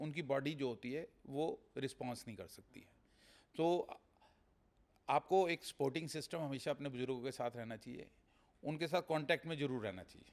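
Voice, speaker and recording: Here a man speaks with an unremarkable speaking voice at a fairly high pitch. His pace is moderate and his pitch variation ordinary. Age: 60s. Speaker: real estate businessman. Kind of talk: podcast interview.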